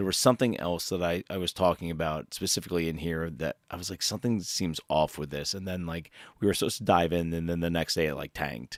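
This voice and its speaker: At a very fast pace with hardly any pauses, a man with a very deep, low pitch talks with ordinary pitch variation. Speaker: stock market streamer. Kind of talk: live stream commentary. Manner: halting.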